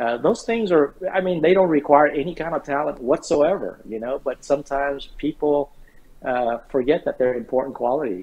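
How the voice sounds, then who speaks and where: Using an American accent, a man with a fairly high pitch and ordinary pitch variation talks at a moderate pace. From Vietnam, raised in the US from age 9. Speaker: retired army general. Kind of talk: interview. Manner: halting, many fillers and repetitions.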